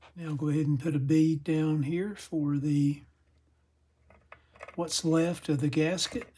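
Speaking slowly, a man uses a fairly high pitch with a dark, mellow tone and a slightly husky edge. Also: fairly even intonation.

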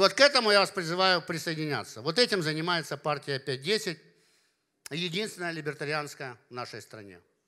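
Against a quiet background, a man talks at a fairly quick pace in a bright, sharp tone, with lively intonation and big swings in loudness. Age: 50s. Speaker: party leader and business philosopher; speaker. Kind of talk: conference talk. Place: hall. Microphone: handheld.

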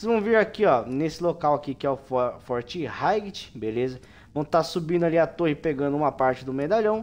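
With a Brazilian accent, a man talks at a fairly high pitch. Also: lively intonation, fairly quick pace. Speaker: gaming youtuber. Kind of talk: game tutorial with gameplay narration. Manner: casual, informal. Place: home room.

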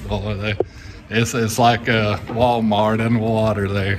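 Noticeable background noise surrounds a man's voice. He speaks at a fairly low pitch with monotone, flat intonation. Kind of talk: casual vlog chat. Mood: relaxed, chuckling. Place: workshop. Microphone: phone near.

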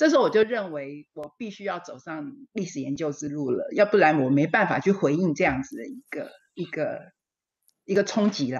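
A fairly low-pitched woman's voice at a moderate pace, with very wide pitch swings and big swings in loudness, over a quiet background. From Taiwan. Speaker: historian; panelist. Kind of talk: panel discussion. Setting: video call. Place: home room. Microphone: video call.

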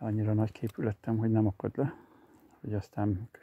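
This man talks at a fairly quick pace in a fairly low, somewhat breathy voice with a dark, mellow tone and monotone, flat intonation. The sound is dry and close, with no echo. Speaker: angler vlogger. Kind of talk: casual outdoor vlog narration. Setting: outdoors on a riverbank.

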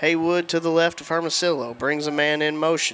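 With a Southern US accent, a man speaks at a moderate pace and a fairly high pitch. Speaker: play-by-play announcer. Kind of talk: live sports play-by-play commentary. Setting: stadium broadcast booth.

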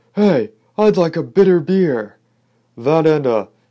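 Someone shouts in a put-on character voice at middle pitch and a fairly slow pace. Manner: shouting.

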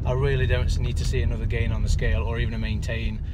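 Loud noise behind a man's dry, echo-free voice at a moderate speed. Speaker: vlogger driving. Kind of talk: casual vlog chat. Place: car. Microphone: phone near.

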